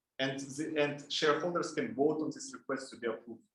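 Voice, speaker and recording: A man at a moderate pace, with audible room echo. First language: Russian and Kazakh. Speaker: lab instructor. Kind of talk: lecture. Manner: halting.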